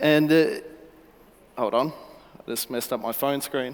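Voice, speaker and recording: This man speaks in a fairly high pitch with ordinary pitch variation. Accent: Australian. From Australia. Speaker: startup founder pitching. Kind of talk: startup pitch. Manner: halting, many fillers.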